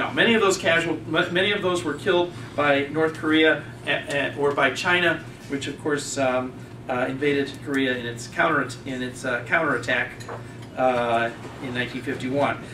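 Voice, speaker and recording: A man's fairly high voice moves at a moderate pace, its pitch varying in an ordinary way, with noticeable background noise throughout. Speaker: audience member. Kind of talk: audience rebuttal. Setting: stage with audience.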